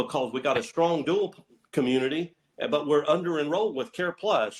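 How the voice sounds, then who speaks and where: Using a Southern US accent, a man talks at a moderate pace and fairly high pitch with lively intonation. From Northeast Tennessee. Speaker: healthcare provider network executive. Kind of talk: business presentation on conference call. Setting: conference call. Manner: rambling, many fillers.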